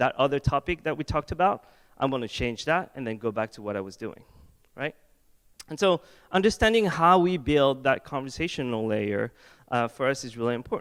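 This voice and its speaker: With a French accent, a man speaks at a medium pitch with lively intonation and big swings in loudness, in a dry, close sound with no echo on a very clean recording with a silent background. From France. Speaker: head of product design. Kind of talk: conference talk. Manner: casual, joking.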